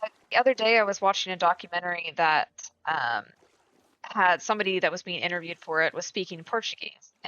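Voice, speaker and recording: With a Midwestern US accent, a woman speaks at a very fast pace in a medium pitch with ordinary pitch variation. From US Midwest. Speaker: gaming streamer. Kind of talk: casual chat. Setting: live stream. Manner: casual, filler-heavy.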